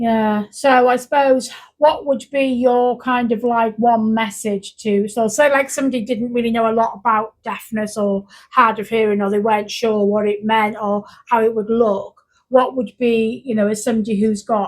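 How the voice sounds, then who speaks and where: A woman's fairly high voice in a North Welsh accent, at a moderate pace with monotone, flat intonation. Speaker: youth worker. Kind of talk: casual chat. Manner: loud.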